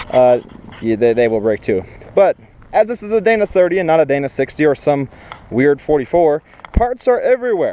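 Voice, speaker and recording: Over noticeable background noise, a man with a fairly high pitch speaks with very wide pitch swings. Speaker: jeep owner vlogger. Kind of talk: casual tutorial vlog. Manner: fast; casual with fillers.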